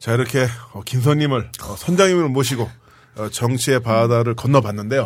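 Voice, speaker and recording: This man talks at a moderate speed in a normal speaking voice. His pitch is medium and shifts in an ordinary way. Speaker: podcast host. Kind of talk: casual chat. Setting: studio.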